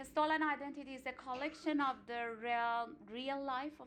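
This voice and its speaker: A woman speaks at a moderate pace in a high pitch with an Iranian accent. Her intonation is lively. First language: Farsi. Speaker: singer and artistic director. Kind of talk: seminar talk. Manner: halting, with frequent fillers.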